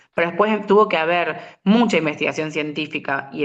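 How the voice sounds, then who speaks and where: Fairly even intonation in a plain, everyday voice. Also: woman. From Argentina, San Luis. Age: 30s. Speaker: molecular biologist, researcher. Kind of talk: interview.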